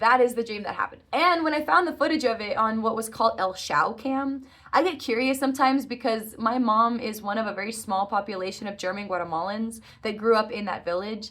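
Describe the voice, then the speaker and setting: At a fairly quick pace, a woman with a fairly high pitch speaks in an animated tone with lively intonation. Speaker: vlogger. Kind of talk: casual monologue. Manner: fast.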